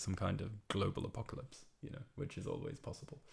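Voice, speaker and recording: Somewhat breathy, the man's voice rushes along at a very fast pace. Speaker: amateur musician. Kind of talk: casual monologue. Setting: home room, alone.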